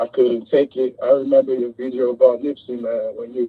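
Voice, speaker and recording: With a New York accent, a man talks at a fairly slow pace. His medium-pitched delivery is monotone and flat. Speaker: caller. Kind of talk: emotional tribute call.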